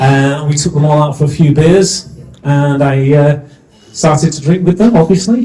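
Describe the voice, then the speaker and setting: A man with a Yorkshire accent at a moderate pace, with ordinary pitch variation and noticeable background noise. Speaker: compere, business mentor. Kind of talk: event compering to live audience. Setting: stage with audience. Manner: animated.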